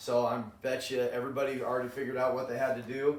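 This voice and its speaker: A man talks at a medium pitch. Noticeable background noise and audible room echo fill the recording. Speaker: math teacher. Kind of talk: lecture. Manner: animated.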